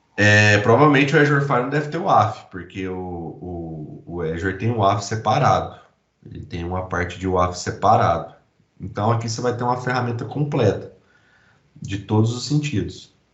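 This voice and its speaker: Audible room echo surrounds a man with a fairly low pitch whose loudness swings widely. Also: lively intonation, moderate pace. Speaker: IT security specialist presenting a demo. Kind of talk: technical presentation.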